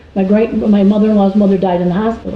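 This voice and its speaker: A woman speaks over noticeable background noise. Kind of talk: interview answer.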